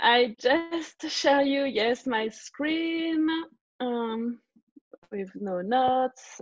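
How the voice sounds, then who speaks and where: Speaking very slowly with lively intonation, a woman uses a high pitch and has a non-native accent. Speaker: learning consultant, former teacher. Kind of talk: online tutorial presentation. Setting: video call webinar. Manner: hesitant, many fillers.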